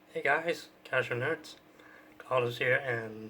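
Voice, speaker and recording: Very slow speech over noticeable background noise. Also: man. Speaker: gaming youtuber. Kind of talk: casual chat. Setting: home recording with webcam.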